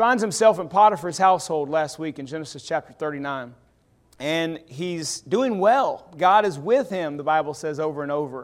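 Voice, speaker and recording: With a Southern US accent, a man speaks at a moderate pace in a fairly high pitch, his tone animated and his intonation lively. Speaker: preacher. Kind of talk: sermon.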